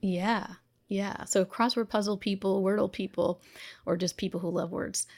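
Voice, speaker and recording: A woman speaks at a moderate pace in a medium pitch with fairly even intonation. An ordinary speaking voice, on a very clean recording with a silent background. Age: 50s. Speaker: physician and self-care coach. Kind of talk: interview.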